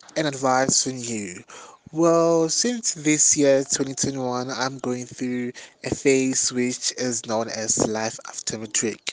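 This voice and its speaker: At a very slow pace, a man speaks at a fairly high pitch. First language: Xhosa. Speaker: podcast host and student. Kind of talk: solo monologue with motivational advice.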